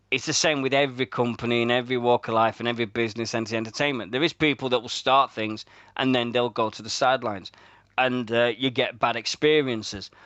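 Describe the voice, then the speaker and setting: A man with a Yorkshire accent talks at a very fast pace. His intonation stays fairly even. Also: medium pitch for a man. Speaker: radio host. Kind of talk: casual chat.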